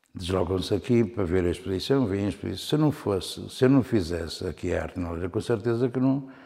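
A very fast delivery in a dark, mellow tone with lively intonation. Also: man, fairly low pitch for a man. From northern Portugal, Alto Minho (near Viana do Castelo). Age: 60s. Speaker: painter. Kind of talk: interview. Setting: his own studio-gallery. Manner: halting, with frequent repetitions.

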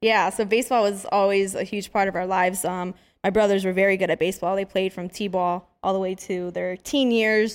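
In an American accent, a normal speaking voice moves at a fairly quick pace with hardly any pauses and fairly even intonation, on a very clean recording with a silent background. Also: woman, medium pitch for a woman. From East Los Angeles, California. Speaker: professional boxer. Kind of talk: casual interview.

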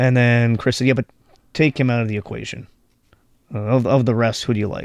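A man speaks fairly quickly in a medium pitch and a flat monotone, with long, frequent pauses. The recording is very clean, with a silent background. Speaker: podcast host. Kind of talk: podcast interview chat.

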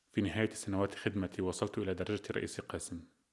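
What comes through is an unforced reading voice.

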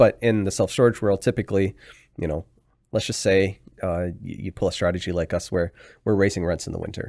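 In a very clean recording with a silent background, a man with a Canadian accent uses an ordinary speaking voice, fairly low in pitch, with fairly even intonation at a fairly quick pace. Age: 30s. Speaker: real estate investor. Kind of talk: casual chat.

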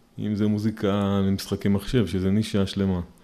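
This man has a dark, mellow tone and a fairly low pitch. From Israel (Petah Tikva, Rehovot). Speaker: theatre musician. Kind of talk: interview.

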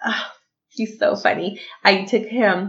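A woman speaks at a fairly slow pace in an animated, bright and sharp tone, with vocal fry. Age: 30s. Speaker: podcast co-host. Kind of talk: casual chat. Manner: animated, laughing often.

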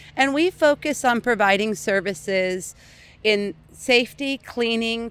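In an unremarkable speaking voice with an American accent, a woman speaks at a fairly high pitch and a fairly slow pace with lively intonation. The recording is very clean, its background silent. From US Pacific Northwest, South Seattle. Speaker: neighborhood business association director. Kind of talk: interview.

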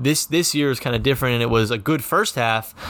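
This man has an ordinary speaking voice. He talks at a fairly quick pace with ordinary pitch variation. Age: 20s. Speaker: sports podcast host. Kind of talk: sports podcast recap and interview.

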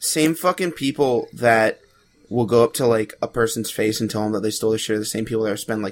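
His voice sits at a medium pitch for a man, and its pitch varies in an ordinary way. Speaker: podcast co-host. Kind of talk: casual chat.

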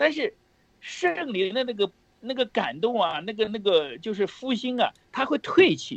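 A man's extremely high voice with a Shandong-Henan accent, animated in tone, with very wide pitch swings and a moderate pace, dry and close with no echo. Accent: Shandong-Henan border Mandarin. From Heze, Shandong, near the Henan border. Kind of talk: preaching-style religious sharing.

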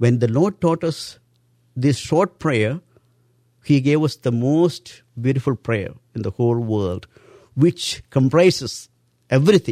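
A man with an Indian accent speaks fairly slowly, leaving long, frequent pauses. His medium-pitched voice has a dark, mellow tone and lively intonation, on a very clean recording with a silent background. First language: Indian language. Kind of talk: interview, religious teaching.

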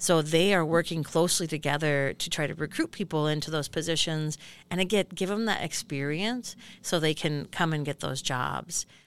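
With a very deep, low pitch, a woman speaks at a moderate pace and ordinary pitch variation. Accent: American. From northern Minnesota, US. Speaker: economic development nonprofit worker. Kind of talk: podcast interview. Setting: podcast booth.

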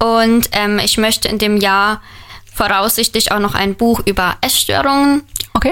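Over noticeable background noise, a woman speaks at a fairly slow pace in a fairly high voice. Her loudness stays very even, and her pitch varies in an ordinary way. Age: 20s. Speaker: author and trainee educator. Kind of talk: radio interview.

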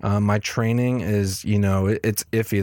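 Recorded very cleanly against a silent background, a man talks at a fairly low pitch in a monotone, flat intonation. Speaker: podcast host. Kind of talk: solo podcast update, casual. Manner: casual, filler-heavy.

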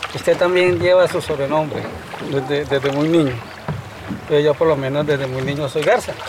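A man with ordinary pitch variation over noticeable background noise. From Colombia, Honda (Tolima). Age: 50s. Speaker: fisherman and local guide. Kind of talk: interview.

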